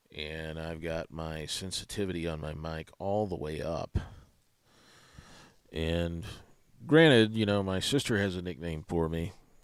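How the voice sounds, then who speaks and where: A man with a very deep, low pitch and ordinary pitch variation speaks fairly slowly, with long, frequent pauses, in a very clean recording with a silent background. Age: 40s. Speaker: livestream host, ritual abuse investigator. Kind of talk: livestream chat reading comments. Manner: mumbling, doesn't project or enunciate. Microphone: audio called garbage, too quiet by a viewer.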